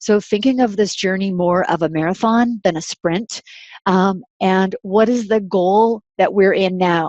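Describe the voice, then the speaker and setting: A woman speaks in a plain, everyday voice at medium pitch. Her pace is fairly slow, her intonation fairly even and her loudness very even. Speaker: university research specialist. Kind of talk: webinar lecture. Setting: online webinar.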